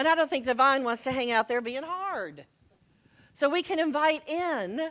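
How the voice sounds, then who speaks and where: Loud and high-pitched, a woman speaks in an American accent. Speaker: minister. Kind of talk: sermon.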